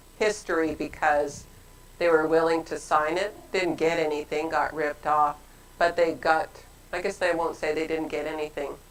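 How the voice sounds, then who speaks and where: Over noticeable background noise, a woman talks at a moderate pace in a very deep, low voice with monotone, flat intonation. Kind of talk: casual conversation. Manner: loud.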